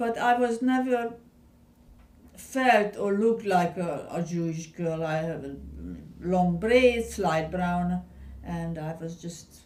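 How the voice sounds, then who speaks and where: A woman with a Hungarian accent speaks very slowly, leaving long, frequent pauses. Her loudness swings widely, and the room echo is audible. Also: fairly low pitch for a woman. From Hungary, Budapest. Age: 70s. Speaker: Holocaust survivor. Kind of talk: oral history interview. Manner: halting.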